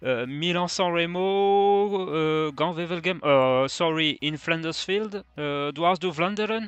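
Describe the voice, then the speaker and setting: Speaking at a fairly slow pace with hardly any pauses, a man with a non-native accent has a high pitch and ordinary pitch variation. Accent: non-native, rusty English. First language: French. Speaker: fantasy cycling youtuber. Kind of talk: video review. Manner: halting, many fillers.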